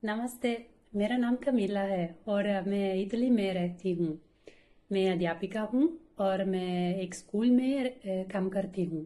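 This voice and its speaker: A woman's dark, mellow voice sits at medium pitch with ordinary pitch variation. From Italy. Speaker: schoolteacher, Hindi learner. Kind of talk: language-learning interview. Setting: online call. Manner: halting, many filler pauses.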